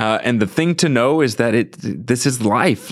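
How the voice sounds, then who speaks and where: A man with a plain, everyday voice, medium pitch and ordinary pitch variation, with an American accent, in a very clean recording with a silent background. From US Midwest, St. Louis. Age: 30s. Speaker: author. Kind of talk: interview. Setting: studio.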